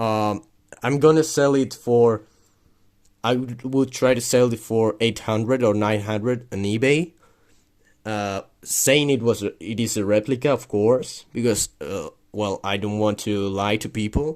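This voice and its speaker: A man with a non-native accent, medium pitch and ordinary pitch variation, at a fairly slow pace, in a very clean recording with a silent background. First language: not English. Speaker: militaria collector YouTuber. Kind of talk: product review video. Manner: halting, many fillers and repeats.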